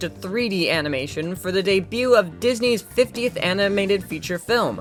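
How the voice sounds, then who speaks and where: A woman with an American accent at a moderate pace, lively intonation, and music in the background. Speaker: film reviewer, video narrator. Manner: casual, comedic narration.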